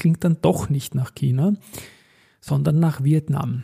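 Somewhat breathy and dark, mellow in tone, a man speaks at a fairly high pitch with ordinary pitch variation in a dry, close sound with no echo. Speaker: stock market podcast host. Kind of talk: solo market commentary podcast.

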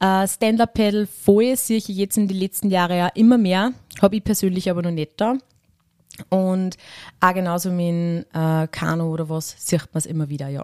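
A woman speaks in a plain, everyday voice at a medium pitch and moderate pace. The pitch varies in an ordinary way, and the sound is dry and close with no echo. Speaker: rural youth club leader. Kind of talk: interview. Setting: historic railway carriage.

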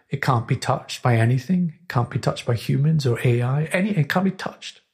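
Somewhat breathy, a man speaks at a moderate pace with a fairly high pitch. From Scotland, Orkney. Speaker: composer. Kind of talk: casual chat. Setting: studio.

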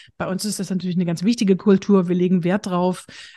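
A woman speaks very fast with a slight Saxony-Anhalt accent. Her medium-pitched voice is somewhat breathy, with a dark, mellow tone. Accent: slight Saxon-Anhalt dialect. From eastern Germany, Bitterfeld-Wolfen (Saxony-Anhalt). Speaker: humor trainer and speaker. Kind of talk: interview conversation.

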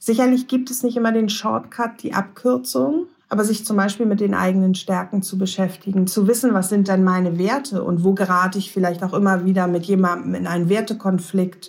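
A woman speaks at medium pitch and a moderate pace. She has an unremarkable speaking voice with ordinary pitch variation. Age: 40s. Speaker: lawyer and positive psychology lecturer. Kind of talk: interview.

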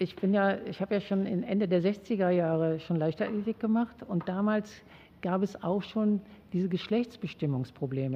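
This woman has an unremarkable speaking voice, medium in pitch with ordinary pitch variation. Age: 60s. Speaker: sociologist and former athlete. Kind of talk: interview. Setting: studio.

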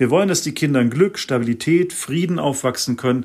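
A man with an ordinary speaking voice talks at medium pitch with ordinary pitch variation. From Germany. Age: 40s. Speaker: mediator and activist. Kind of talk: interview.

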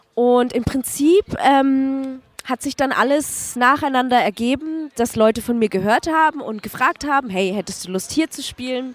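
A woman speaks at a high pitch and a fairly slow pace with lively intonation. The sound is dry and close, with no echo. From Franconia, Nuremberg. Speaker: DJ. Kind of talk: interview.

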